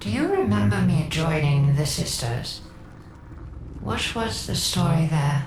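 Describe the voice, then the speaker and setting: In a put-on character voice with a low-to-middle pitch, the speaker goes at a fairly slow pace with long, frequent pauses, a slight echo and clear background noise. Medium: video game. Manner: casual, sardonic.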